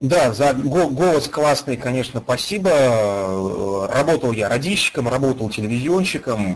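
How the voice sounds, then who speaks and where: A plain, everyday voice at a fairly slow pace, with lively intonation and hardly any pauses. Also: man, medium pitch for a man. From Russia, Ufa (Bashkortostan). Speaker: online game player, former radio and TV journalist. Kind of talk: interview.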